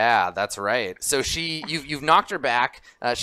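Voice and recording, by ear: The intonation is lively while the speaker is reading aloud in a natural voice.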